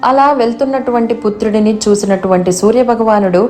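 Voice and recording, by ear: A text is read aloud in a natural voice. Ordinary pitch variation marks the delivery.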